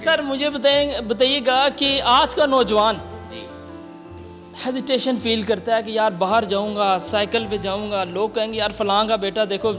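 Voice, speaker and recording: A man's high-pitched voice with ordinary pitch variation and music in the background. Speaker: interviewer. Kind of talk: interview questions.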